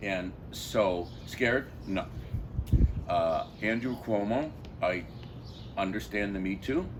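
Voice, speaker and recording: A man speaks at a very slow pace with long, frequent pauses, his pitch fairly low and its variation ordinary. Room echo is audible and background noise is noticeable. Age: 70s. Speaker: passer-by interviewee. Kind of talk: street interview.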